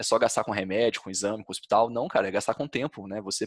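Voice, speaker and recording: On a very clean recording with a silent background and a dry, close sound with no echo, a man with a Brazilian accent speaks at a fairly low pitch with fairly even intonation. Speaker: health podcast co-host. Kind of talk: casual podcast conversation.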